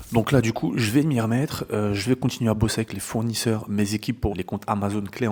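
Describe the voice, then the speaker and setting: Soft-spoken, a man talks at a fairly quick pace and a fairly low pitch. His tone is dark and mellow, with fairly even intonation. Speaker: e-commerce entrepreneur and business coach. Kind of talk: vlog narration. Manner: casual with many filler words.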